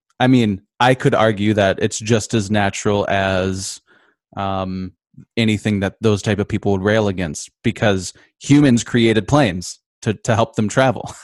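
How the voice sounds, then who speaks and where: A man with an Upper Midwest accent and a fairly low pitch speaks at a moderate pace with fairly even intonation, in a dry, close sound with no echo and a quiet background. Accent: Upper Midwest American. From Michigan, Grand Rapids. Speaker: composer and guitarist. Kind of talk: casual interview. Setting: video call.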